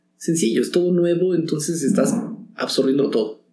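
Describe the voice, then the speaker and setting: Audible room echo surrounds a man's dark, mellow tone as he speaks at a moderate pace with ordinary pitch variation. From Mexico. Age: 40s. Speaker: actor. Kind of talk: casual interview.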